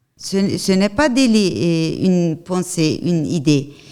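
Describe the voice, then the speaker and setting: A woman speaks at a very slow pace with a Turkish accent. Her tone is dark and mellow, with a fairly low pitch. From Turkey. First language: Turkish (speaking French). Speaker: activist and journalist. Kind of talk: testimony. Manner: halting.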